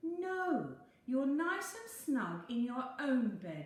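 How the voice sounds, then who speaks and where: A put-on character voice moves at a very slow pace with very wide pitch swings. There is clear echo on it. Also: woman, high pitch for a woman. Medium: read story. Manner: weary, firm.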